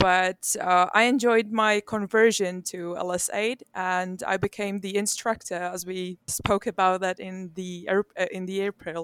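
A woman with a Czech accent at medium pitch, monotone, flat intonation and a fairly slow pace, recorded very cleanly with a silent background and a dry, close sound with no echo. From Czech Republic. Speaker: glider pilot and instructor. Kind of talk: interview.

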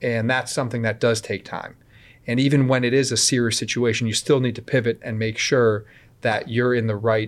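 A man with an American accent speaks at a moderate pace and medium pitch. His intonation is monotone and flat, on a very clean recording with a silent background. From Connecticut, US (Woodbridge). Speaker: police officer. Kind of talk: interview.

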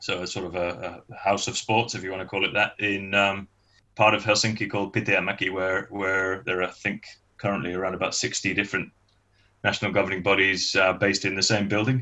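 A man's fairly low voice with a Mancunian accent, monotone, flat intonation and a fairly quick pace. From northern England, Manchester. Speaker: sports association chairman. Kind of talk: interview.

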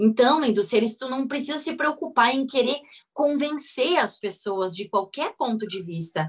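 A woman talks at a fairly slow pace. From Rio Grande do Sul, southern Brazil. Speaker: physiotherapist and craniosacral therapist. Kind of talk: interview on a live video call. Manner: animated.

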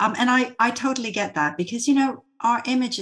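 A woman speaks at a fairly quick pace, her voice somewhat breathy. The background is quiet. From Vancouver, Canada. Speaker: entrepreneur and co-host of interview series. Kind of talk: casual interview chat.

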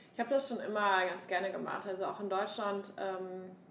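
Woman at medium pitch and moderate pace, with audible room echo and noticeable background noise. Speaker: podcast co-host, startup founder. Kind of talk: casual chat.

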